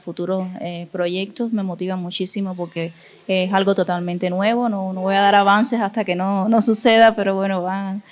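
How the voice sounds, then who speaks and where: Against noticeable background noise, a woman speaks at a medium pitch and a moderate pace. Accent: Cuban. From Cuba, Cienfuegos. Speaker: visual artist. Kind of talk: interview. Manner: halting, many fillers.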